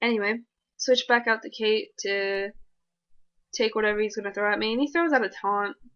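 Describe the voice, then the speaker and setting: A fairly high-pitched woman at a fairly quick pace, with long, frequent pauses, ordinary pitch variation and a quiet background. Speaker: gaming commentator. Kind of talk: gameplay commentary. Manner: fast; animated.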